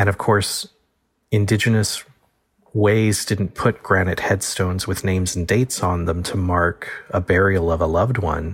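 A man talks in a very deep, low voice with an American accent. His delivery is somewhat breathy, with fairly even intonation. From Texas Gulf Coast. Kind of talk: interview.

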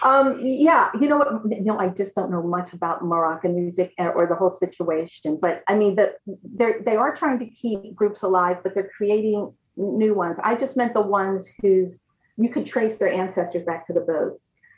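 A woman's ordinary speaking voice, medium in pitch, with an American accent, lively intonation and a moderate pace. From USA. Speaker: music professor. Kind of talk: interview on video call. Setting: video call.

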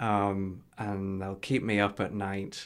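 In a very clean recording with a silent background, a man speaks with a Geordie accent. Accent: Geordie, northeast English. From northeast England. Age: 30s. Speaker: health tech entrepreneur with ankylosing spondylitis. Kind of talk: casual interview chat.

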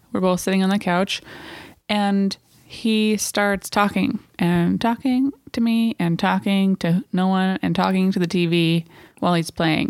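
A woman with an unremarkable speaking voice, medium in pitch, shows ordinary pitch variation. Her loudness stays very even, and the sound is dry and close with no echo. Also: fairly slow pace. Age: 30s. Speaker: podcast co-host. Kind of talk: casual chat. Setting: home living room.

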